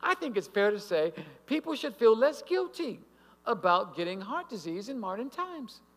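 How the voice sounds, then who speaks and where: A man speaks with a high pitch. His pitch swings very widely. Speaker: health speaker at church; speaker. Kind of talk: health lecture. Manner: animated. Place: hall. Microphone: podium.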